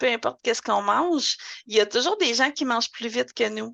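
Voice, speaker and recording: A woman with a Quebec accent speaks at a fairly high pitch in a bright, sharp tone with some vocal fry. Her pitch varies in an ordinary way, and the background is quiet. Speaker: language school director and teacher. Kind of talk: podcast interview. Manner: hesitant, many fillers.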